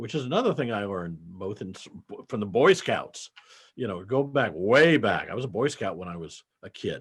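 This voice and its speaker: A man talks at a moderate pace. His pitch swings very widely and his loudness shifts a lot. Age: 70s. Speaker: accountant and business founder. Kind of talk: interview conversation.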